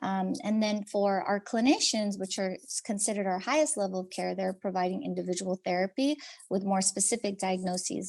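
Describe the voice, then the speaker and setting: In a plain, everyday voice, the speaker keeps a moderate pace and fairly even intonation against a quiet background. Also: woman. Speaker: behavioral health program presenter. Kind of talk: webinar presentation.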